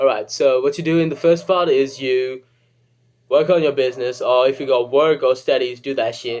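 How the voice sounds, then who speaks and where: Speaking with a British accent, a man talks at a fairly high pitch. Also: fairly even intonation, moderate pace. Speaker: comedic self-help video creator. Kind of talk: comedic advice monologue. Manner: casual, joking.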